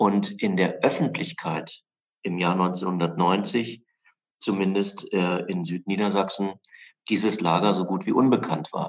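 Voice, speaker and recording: A man at a fairly low pitch with fairly even intonation and a very slow pace. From southern Lower Saxony, Germany (western Harz edge). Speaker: historian and memorial director. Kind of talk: interview. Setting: in his office, remote.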